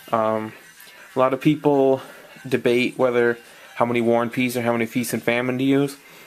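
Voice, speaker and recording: A man talks at a moderate pace and medium pitch. Noticeable background noise runs underneath. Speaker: card game deck reviewer. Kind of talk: casual talk to camera. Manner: hesitant, stuttering, many fillers.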